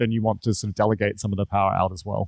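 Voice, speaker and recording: Against a quiet background, a man talks at a very fast pace, the sound dry and close with no echo. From New Zealand. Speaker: conference speaker, designer and agency founder. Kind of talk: conference talk. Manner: casual with many filler words.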